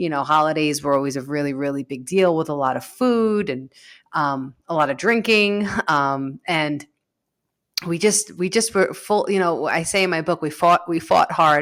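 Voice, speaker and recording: A voice with a New York accent in a very clean recording with a silent background. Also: woman, very deep, low pitch for a woman, ordinary pitch variation, moderate pace. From New York, South Shore of Long Island. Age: 30s. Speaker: author and grief coach. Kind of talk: interview.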